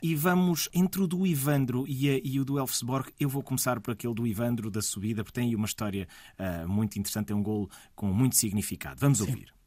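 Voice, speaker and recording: A man speaks at a very fast pace. His voice sits at medium pitch with a dark, mellow tone. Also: lively intonation. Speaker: radio host. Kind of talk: radio interview.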